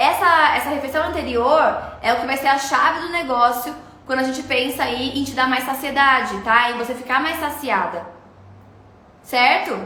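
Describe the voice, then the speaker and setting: A woman with a high pitch projects a raised voice at a moderate pace, using ordinary pitch variation. There is noticeable background noise and audible room echo. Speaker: nutritionist. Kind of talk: live stream Q&A.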